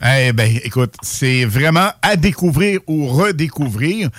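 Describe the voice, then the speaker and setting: Lively intonation from a man at a medium pitch and a fairly slow pace, in a very clean recording over a silent background. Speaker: radio host. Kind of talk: casual radio chat. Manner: animated.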